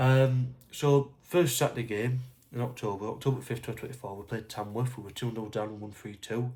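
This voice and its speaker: Talking at a fairly quick pace, a man keeps a medium pitch and fairly even intonation in a somewhat breathy voice. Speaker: football fan vlogger. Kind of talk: casual talk to camera. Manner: hesitant, stuttering.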